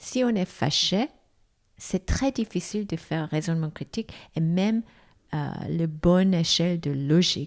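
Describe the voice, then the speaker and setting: A woman speaks at a fairly slow pace with a fairly low pitch and lively intonation, on a very clean recording with a silent background. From South Korea. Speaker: foundation president, former executive. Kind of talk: interview. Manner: halting.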